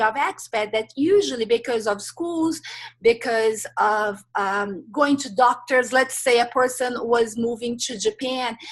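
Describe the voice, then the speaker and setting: A woman speaks fairly slowly with a Brazilian Portuguese accent. Her voice is high and her intonation lively. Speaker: life transitions coach. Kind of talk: interview. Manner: hesitant, many filler sounds.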